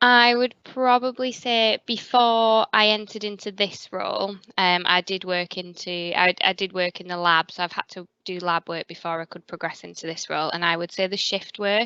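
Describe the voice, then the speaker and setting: With a northern English accent, a woman speaks at a moderate pace and medium pitch, with ordinary pitch variation, big swings in loudness, hardly any pauses and a bright, sharp tone, in a dry, close sound with no echo against a quiet background. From northern England. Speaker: hospital pathology quality manager. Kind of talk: careers interview. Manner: hesitant, with fillers.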